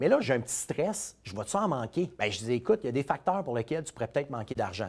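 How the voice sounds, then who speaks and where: In a very clean recording with a silent background, a man with a Quebec accent talks at a very fast pace and a medium pitch, his pitch swinging very widely. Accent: Québécois French. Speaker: financial advisor. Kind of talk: casual storytelling monologue.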